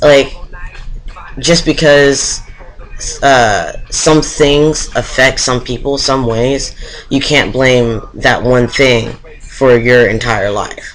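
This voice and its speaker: Amid noticeable background noise, a man talks at a very slow pace with long, frequent pauses. His pitch is medium and his intonation fairly even. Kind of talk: casual talk to camera.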